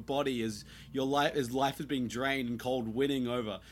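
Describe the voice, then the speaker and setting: The recording is very clean, with a silent background. A man talks at a fairly slow pace. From New Zealand. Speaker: podcast host. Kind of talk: casual chat.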